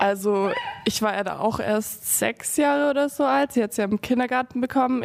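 A woman talks in a normal speaking voice at a moderate pace with ordinary pitch variation. The recording is very clean, with a silent background. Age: young (18). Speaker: sister of a teen with Tourette. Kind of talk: interview.

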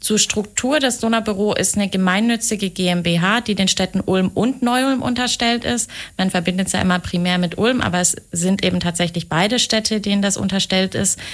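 A woman with an unremarkable speaking voice talks at a fairly quick pace and medium pitch. Her loudness stays very even, and her pitch varies in an ordinary way. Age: 20s. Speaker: project manager at a city European office. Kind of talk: radio interview. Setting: radio studio.

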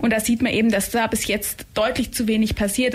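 Noticeable background noise is audible. Over it, a woman talks. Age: 20s. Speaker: climate activist. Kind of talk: radio interview. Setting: radio studio.

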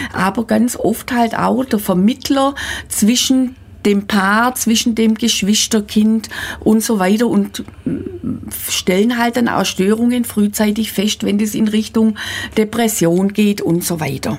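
A woman speaks at a very slow pace with fairly even intonation. Noticeable background noise runs behind her. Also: fairly high pitch for a woman, very even loudness. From Swabia, Germany. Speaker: midwife and midwifery school teacher. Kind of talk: radio interview.

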